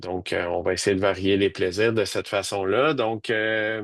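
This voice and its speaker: The background is quiet. A man's voice moves at a moderate pace. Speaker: university professor. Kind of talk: webinar presentation. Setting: video webinar. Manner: monotone; hesitant, many fillers.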